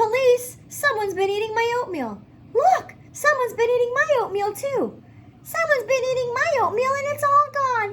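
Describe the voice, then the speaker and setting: This is a squeaky, put-on character voice. Clear background noise is present. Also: woman, extremely high pitch for a woman, moderate pace. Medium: read story.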